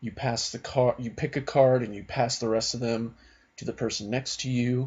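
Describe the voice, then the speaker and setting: At a moderate pace, a man speaks quietly and somewhat breathily at a medium pitch with fairly even intonation. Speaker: card game youtuber. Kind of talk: casual video blog. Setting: at home at night. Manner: quiet, subdued.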